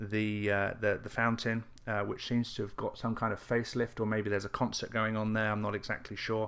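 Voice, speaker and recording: In a very clean recording with a silent background, a man speaks with an English accent. His tone is bright and sharp, his intonation monotone and flat. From England. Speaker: internet marketer. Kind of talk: casual video update. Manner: halting, many fillers and repeats.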